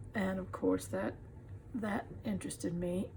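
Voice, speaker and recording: In a Texan accent, a woman speaks at a fairly slow pace. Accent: Texan Southern US. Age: 70s. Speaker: crafter. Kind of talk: casual tutorial.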